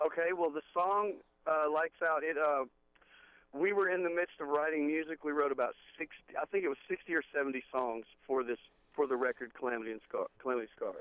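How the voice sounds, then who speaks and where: The speaker has a Southern US accent. The pitch varies in an ordinary way. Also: man, fairly high pitch for a man, fairly quick pace. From Texas. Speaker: rock band lead singer. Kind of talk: interview. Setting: phone call.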